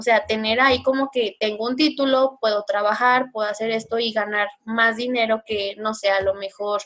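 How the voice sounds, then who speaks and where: A woman with a normal speaking voice talks in a fairly high pitch with hardly any pauses. Her intonation stays fairly even. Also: moderate pace. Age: 20s. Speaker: psychology student and YouTuber. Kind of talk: casual interview chat.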